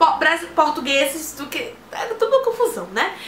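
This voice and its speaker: A woman with an extremely high pitch projects her raised voice at a fairly quick pace, her pitch swinging very widely. Audible room echo and noticeable background noise are present. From Brazil. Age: young. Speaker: vlogger. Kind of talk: casual vlog talk.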